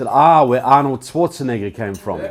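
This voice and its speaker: With noticeable background noise, a man of medium pitch talks at a moderate pace with a New Zealand accent. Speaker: public speaker and author. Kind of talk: public speech. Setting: stage with audience.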